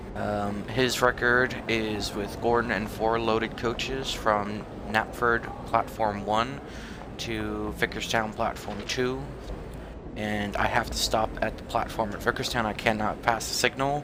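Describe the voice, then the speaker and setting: A man's fairly low-pitched voice, fairly slow pace and fairly even intonation, with noticeable background noise. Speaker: gaming streamer. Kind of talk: gameplay commentary. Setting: live stream with mic. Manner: casual, hesitant.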